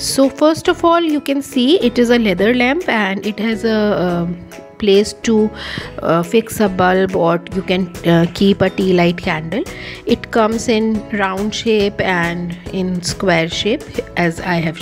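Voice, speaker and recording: A woman speaking at a fairly slow pace, with clear music in the background. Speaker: craft teacher. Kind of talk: tutorial. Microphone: phone near.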